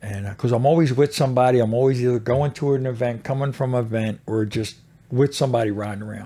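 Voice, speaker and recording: Talking at a very fast pace, a man keeps his dark, mellow tone at a medium pitch with fairly even intonation. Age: 60s. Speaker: motorcycle club president in recovery. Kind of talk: casual interview.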